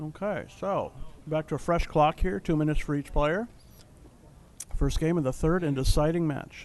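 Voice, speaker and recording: A man talks at a moderate pace with an American accent. His pitch varies in an ordinary way, and he leaves long, frequent pauses. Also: fairly high pitch for a man. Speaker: backgammon commentator. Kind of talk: live commentary. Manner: animated.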